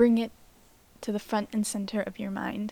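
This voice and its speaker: Somewhat breathy and dark and mellow in tone, a woman's voice sits at a fairly high pitch. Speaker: self-help podcast host. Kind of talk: reflective monologue.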